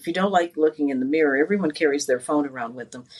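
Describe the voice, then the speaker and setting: Over noticeable background noise, the pitch moves with ordinary variation. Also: woman. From Connecticut, US East Coast. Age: 60s. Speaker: life coach. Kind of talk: interview.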